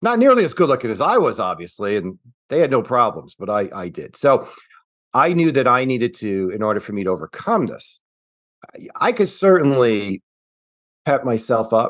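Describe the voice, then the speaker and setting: Against a quiet background, a man's pitch swings very widely. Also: medium pitch for a man, moderate pace. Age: 60s. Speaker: financial planner. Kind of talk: interview. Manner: casual, with fillers.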